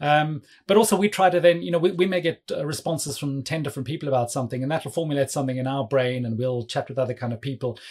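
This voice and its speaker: A very fast man's voice, fairly high in pitch and somewhat breathy, with ordinary pitch variation and hardly any pauses. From South Africa. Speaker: cloud developer advocate. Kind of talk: casual technical interview.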